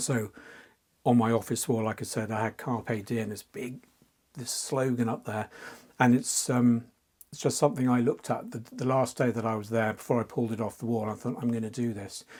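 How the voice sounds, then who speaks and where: A man talks at a fairly quick pace with an English accent. His intonation is flat and monotone. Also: medium pitch for a man. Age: 60s. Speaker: fantasy artist. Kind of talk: interview. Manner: halting.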